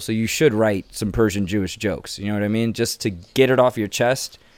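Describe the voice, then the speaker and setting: In a normal speaking voice, a man goes at a fairly quick pace with a fairly low pitch and ordinary pitch variation. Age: 30s. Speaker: comedian and podcast host. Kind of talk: casual chat.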